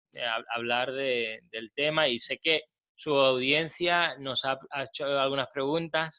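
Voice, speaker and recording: A man's medium-pitched voice, fairly even in intonation, at a fairly slow pace. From Spain, Málaga. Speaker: psychotherapist. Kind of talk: interview.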